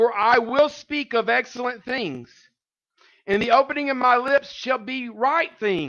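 A man speaks slowly with lively intonation, his voice extremely high-pitched and bright with a sharp tone.

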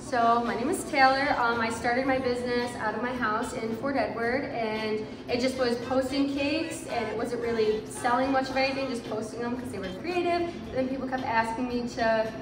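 Over noticeable background noise, a woman speaks at a fairly quick pace, high in pitch with ordinary pitch variation. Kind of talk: interview answer. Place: shop.

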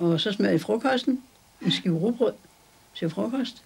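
This woman's pitch swings very widely. She talks at a moderate pace. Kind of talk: interview answer. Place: home room.

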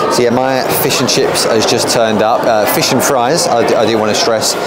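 Crowd noise fills the background. The speaking moves at a moderate pace. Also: man. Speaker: travel vlogger. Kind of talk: casual vlog chat. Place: bar. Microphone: phone near.

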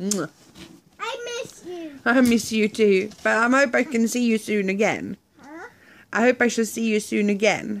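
A woman speaks at a fairly slow pace with long, frequent pauses and fairly even intonation. Light background noise can be heard. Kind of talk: playful talk with a child. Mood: playful, affectionate. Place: home room. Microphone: phone near.

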